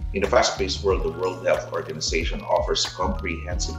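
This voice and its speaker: Behind the man's speech, music can be clearly heard. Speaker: commentator. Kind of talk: scripted opinion commentary. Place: home room.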